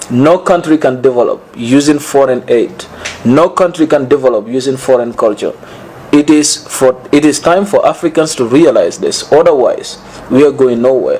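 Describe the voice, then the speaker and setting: Against noticeable background noise, a man with a fairly high pitch keeps his loudness very even. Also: ordinary pitch variation, moderate pace. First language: West African native language. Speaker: pan-African education advocate. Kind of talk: interview. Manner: halting.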